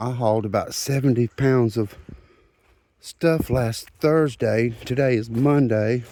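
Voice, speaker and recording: A man's medium-pitched voice in a Southern US accent, dark and mellow in tone, with ordinary pitch variation. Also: fairly slow pace. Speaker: rockhounding vlogger. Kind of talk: casual outdoor vlog narration. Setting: outdoors in a forest creek. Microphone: phone camera.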